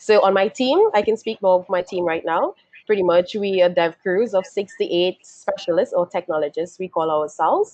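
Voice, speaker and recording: A woman speaks with a slight Trinidadian accent at a fairly low pitch. Her pace is moderate. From Trinidad and Tobago. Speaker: software engineer, webinar panelist. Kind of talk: panel self-introduction.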